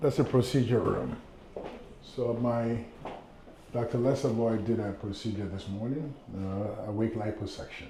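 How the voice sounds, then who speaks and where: A man with an American accent speaks at a moderate pace and medium pitch, his intonation fairly even and broken by long, frequent pauses, while audible room echo and noticeable background noise fill the recording. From Ghana. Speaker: plastic surgeon. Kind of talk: office tour; interview, life story. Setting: consultation office.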